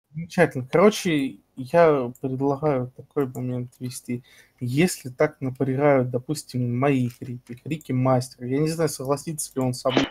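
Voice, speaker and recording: Somewhat breathy, the voice keeps a fairly even intonation and a fairly slow pace. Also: man, medium pitch for a man. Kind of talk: heated debate. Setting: voice chat during game raid. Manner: gets emotional and stretches words.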